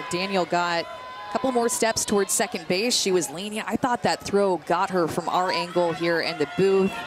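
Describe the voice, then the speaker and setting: The speech moves at a moderate pace in a dry sound with no echo. Clear music plays in the background. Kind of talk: live color commentary. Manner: explanatory, analytical, steady. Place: booth.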